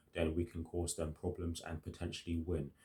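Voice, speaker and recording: Somewhat breathy and very deep in pitch, a man talks at a moderate pace. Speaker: football fan youtuber. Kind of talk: match preview monologue. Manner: hesitant, many fillers.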